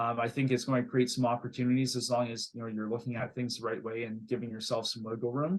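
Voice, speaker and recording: A man with a Canadian accent talks at a very fast pace in a medium pitch, with hardly any pauses. His intonation is monotone and flat. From Canada. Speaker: real estate investor. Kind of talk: interview. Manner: halting, many fillers and repeated words.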